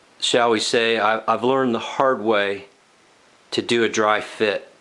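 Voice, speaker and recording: A man with a bright, sharp tone speaks at a fairly slow pace. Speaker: woodworking youtuber. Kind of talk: tutorial. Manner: halting.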